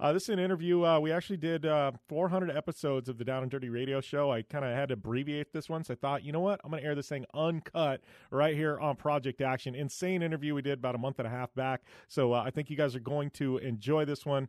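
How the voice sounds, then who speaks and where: Hardly pausing, a man speaks at a very fast pace with ordinary pitch variation. The background is quiet and the sound is dry with no echo. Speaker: podcast host. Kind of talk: podcast intro monologue. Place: studio.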